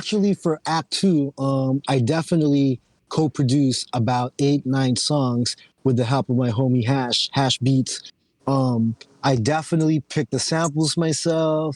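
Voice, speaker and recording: At a fairly slow pace, a man with an American accent speaks in a fairly high pitch, with ordinary variation and very even loudness. He has an ordinary speaking voice, recorded with a dry, close sound and no echo. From Philippines, then Oxnard, California from age 10. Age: 30s. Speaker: rapper. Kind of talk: casual chat.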